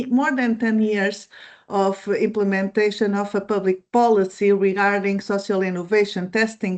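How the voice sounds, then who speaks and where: A woman with a non-native accent talks at a fairly high pitch and a fairly slow pace. The background is quiet. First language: Portuguese. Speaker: policy advisor. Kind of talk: presentation. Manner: halting.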